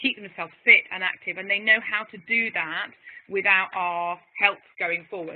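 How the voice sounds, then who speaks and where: A woman speaks at a moderate pace with a medium pitch, her loudness swinging widely. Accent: English. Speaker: physiotherapist. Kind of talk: webinar presentation. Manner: animated.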